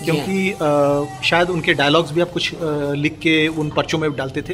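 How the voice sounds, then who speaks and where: A man with a fairly high pitch and flat, monotone delivery, amid noticeable background noise. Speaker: film writer and interviewer. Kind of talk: interview questions.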